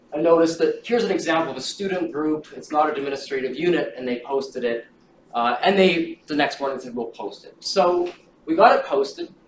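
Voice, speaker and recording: A man's fairly quick speech with big swings in loudness, audible room echo and light background noise. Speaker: event organizer introducing the lecture. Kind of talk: lecture. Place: classroom. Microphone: camera far.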